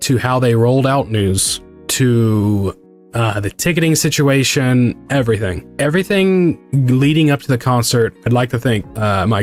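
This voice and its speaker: Music sits in the background while a man speaks at a fairly slow pace. His medium-pitched voice has lively intonation. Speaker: VTuber streamer. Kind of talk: casual stream talk about a concert.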